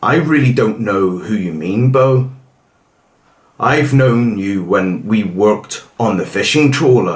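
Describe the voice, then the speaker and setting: A man growls in a put-on character voice at a medium pitch, his intonation lively. He speaks at a fairly slow pace, and there is audible echo. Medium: read story.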